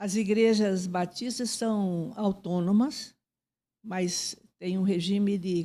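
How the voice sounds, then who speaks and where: A woman speaks at a very slow pace in a medium pitch, with a dark, mellow tone and fairly even intonation. The recording is very clean, with a silent background. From Paraná, southern Brazil (coast and Curitiba). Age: 80s+. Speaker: church leader, interviewee. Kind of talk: interview. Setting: studio.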